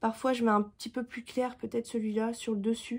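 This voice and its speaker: This woman has a dark, mellow tone. Her voice is somewhat breathy. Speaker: vlogger. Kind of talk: casual vlog talk. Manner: halting, many fillers.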